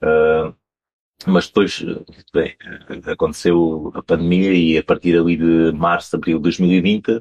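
In a strong Alentejo accent, a man speaks with a very deep, low pitch and flat, monotone intonation, the sound dry and close with no echo. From Portugal, Alentejo (Campo Maior). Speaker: wine importer. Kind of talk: interview.

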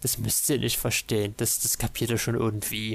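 A man's voice with vocal fry at a moderate pace. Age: 20s. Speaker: podcast co-host. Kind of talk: casual chat.

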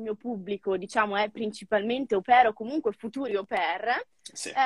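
The speaker is a woman. Her sound is close and dry, free of echo. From northern Italy, Novara province. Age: 20s. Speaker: former au pair and mentor. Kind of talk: casual interview. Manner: animated.

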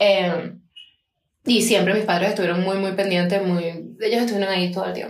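Her pace fairly quick yet broken by long, frequent pauses, a woman speaks at medium pitch with monotone, flat intonation. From Venezuela, Punto Fijo (Falcón). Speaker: podcast co-host. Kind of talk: casual chat.

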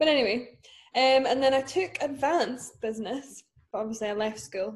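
A woman talks with a Scottish accent at a moderate pace. Her intonation is lively. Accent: Scottish (Fife). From Scotland, Dunfermline. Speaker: entrepreneur and podcast co-host. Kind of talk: casual chat.

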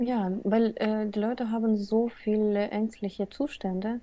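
A woman with a dark, mellow tone and medium pitch speaks fairly slowly in a flat, monotone intonation. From Ukraine, Odessa. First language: Russian (speaking German). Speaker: Gestalt therapist. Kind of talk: interview. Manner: halting, many fillers.

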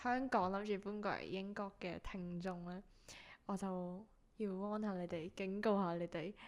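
A woman with a normal speaking voice talks at a medium pitch and a fairly slow pace, with fairly even intonation. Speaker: podcast co-host. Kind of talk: casual chat.

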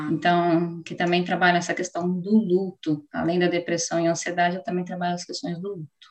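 A woman's fairly low-pitched, monotone, flat delivery at a moderate pace, with big swings in loudness and hardly any pauses. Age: 30s. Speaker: psychologist. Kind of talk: interview.

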